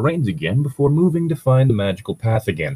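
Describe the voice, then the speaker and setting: The sound is dry and close with no echo as a man talks at a fairly quick pace in a somewhat breathy voice. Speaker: podcast co-host reading fan fiction. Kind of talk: reading aloud with comic commentary. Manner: sarcastic.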